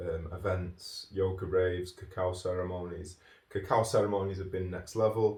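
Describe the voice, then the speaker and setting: Speaking at a moderate pace, a man has a very deep, low voice with a dark, mellow tone, somewhat breathy and flat, monotone in delivery. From Manchester, northern England. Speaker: podcast host, yoga teacher and author. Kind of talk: casual podcast chat. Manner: rambling, filler-heavy.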